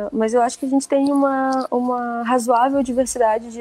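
Her tone dark and mellow, a woman with a high pitch speaks at a fairly quick pace. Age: 20s. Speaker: author and researcher. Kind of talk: interview.

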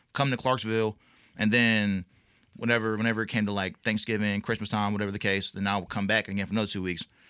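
In a very clean recording with a silent background, a man talks at a very fast pace with an American accent. His fairly low voice has a bright, sharp tone. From North Carolina. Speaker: rapper. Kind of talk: casual interview.

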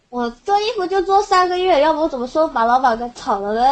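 The pitch swings very widely while the words come at a fairly quick pace. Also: woman. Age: 18. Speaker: caller. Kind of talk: casual chat. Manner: soft-spoken.

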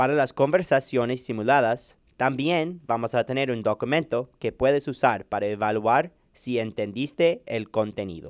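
A man's medium-pitched voice at a fairly slow pace, with hardly any pauses, ordinary pitch variation and a quiet background. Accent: English. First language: English (speaking Spanish). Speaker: medical student, podcast co-host. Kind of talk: scripted introduction.

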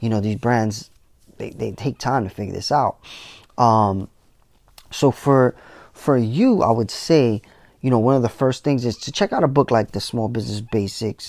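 Here a man with an American accent talks in a plain, everyday voice at medium pitch and a moderate pace. His pitch varies in an ordinary way, and the recording is very clean with a silent background. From New York City, the Bronx. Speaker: podcast host, tech entrepreneur. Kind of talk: solo monologue on business. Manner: casual, many fillers.

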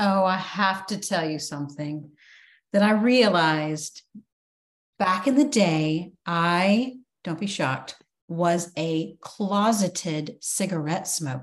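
In a plain, everyday voice, a woman speaks at a fairly slow pace and a fairly low pitch, with ordinary pitch variation. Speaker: podcast host. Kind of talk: casual interview chat.

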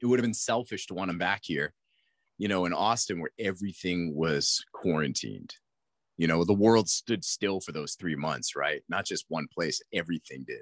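At a moderate pace, a man with a very deep, low pitch talks with ordinary pitch variation. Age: 40s. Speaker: mindset coach. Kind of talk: casual interview.

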